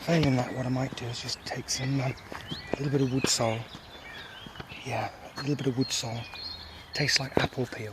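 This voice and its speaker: A man talks at a very fast pace in a medium pitch, with monotone, flat intonation and long, frequent pauses. Noticeable background noise runs behind him. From UK. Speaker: bushcraft vlogger. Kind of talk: outdoor vlog. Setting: outdoors by a river. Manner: whispering; halting, many fillers.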